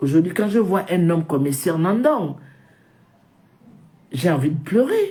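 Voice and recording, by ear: A woman with a dark, mellow tone and fairly low pitch speaks at a fairly slow pace, her pitch swinging widely amid audible room echo.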